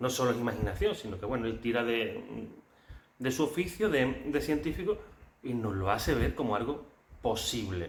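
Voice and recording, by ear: With audible room echo, a man talks at a moderate pace and medium pitch, his intonation lively.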